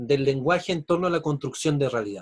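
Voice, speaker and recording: Somewhat breathy and fairly high, a man's voice carries lively intonation at a moderate pace. The sound is dry and close, with no echo. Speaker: university lecturer. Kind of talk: online lecture.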